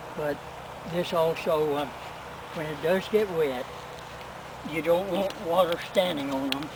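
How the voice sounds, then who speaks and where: Amid noticeable background noise, a man speaks at a fairly slow pace with fairly even intonation and long, frequent pauses. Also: fairly high pitch for a man. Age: 90s. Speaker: elderly gardener. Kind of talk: casual instructional answers to daughter's questions.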